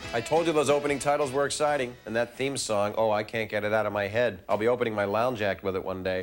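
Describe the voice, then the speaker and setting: Over music in the background, a man at a medium pitch speaks at a very fast pace with ordinary pitch variation. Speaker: TV host. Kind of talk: comedic host talk to camera. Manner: joking, playful.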